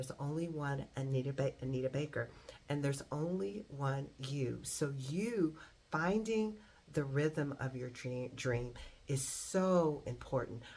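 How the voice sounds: A woman with an extremely low pitch and a slightly mellow tone talks at a fairly slow pace, her pitch varying in an ordinary way.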